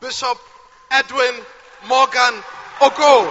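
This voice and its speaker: A man speaks at a fairly slow pace in an extremely high pitch. Noticeable background noise runs under his voice. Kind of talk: sermon. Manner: animated.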